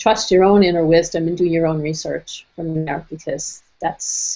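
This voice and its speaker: In a plain, everyday voice, a woman with an American accent talks at a moderate pace and a fairly low pitch. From Brooklyn, New York. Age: 60s. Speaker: nutrition and wellness speaker. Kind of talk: webinar presentation. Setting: online webinar.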